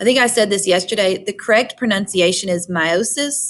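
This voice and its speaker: With a Southern US accent, a woman talks with ordinary pitch variation. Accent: Southern twang. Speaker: high school biology teacher. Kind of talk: recorded lecture. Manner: conversational.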